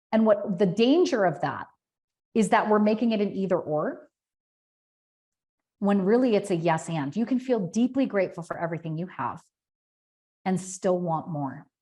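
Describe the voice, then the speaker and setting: With an animated tone and lively intonation, a woman speaks in a somewhat breathy voice, leaving long, frequent pauses. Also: medium pitch for a woman. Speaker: business coach. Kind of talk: webinar presentation. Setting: online webinar. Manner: fast.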